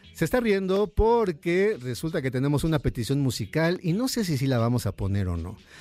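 Music plays in the background as a man talks at a moderate pace in a fairly high pitch with very wide pitch swings. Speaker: radio host. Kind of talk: radio dj patter, live music-and-chat show banter. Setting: live radio studio. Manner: animated, upbeat, chatty and warm.

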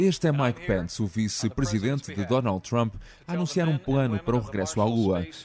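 At a fairly quick pace, a man with a medium pitch and a dark, mellow tone moves through very wide pitch swings. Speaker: podcast host and narrator. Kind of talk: scripted narration.

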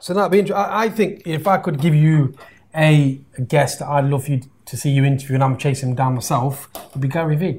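Somewhat breathy, a man with a British accent speaks at a fairly high pitch with ordinary pitch variation. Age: 40s. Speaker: podcast host and business mentor. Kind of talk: casual interview. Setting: live stream.

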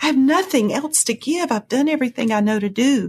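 Her intonation is lively and her pitch is high. The woman speaks at a fairly quick pace. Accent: Southern US. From US South. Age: 50s. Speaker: pastor. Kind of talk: testimony.

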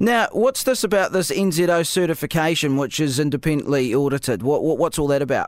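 The man talks at a fairly quick pace with hardly any pauses. His fairly high voice has lively intonation and very even loudness. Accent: New Zealand. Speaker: radio host. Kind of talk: radio interview. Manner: animated.

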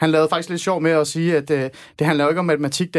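Monotone, flat intonation comes through on a very clean recording with a silent background. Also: man. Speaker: radio host. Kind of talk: live radio debate. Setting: studio.

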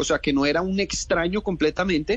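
A man talks very fast in a high voice with ordinary pitch variation. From Colombia. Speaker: actor and director. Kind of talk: interview. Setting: phone call.

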